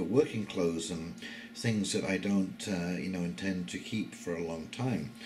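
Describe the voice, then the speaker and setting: A man's fairly low voice amid audible room echo, with music in the background. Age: 60s. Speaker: YouTube commentator. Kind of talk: casual monologue. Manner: hesitant, many fillers.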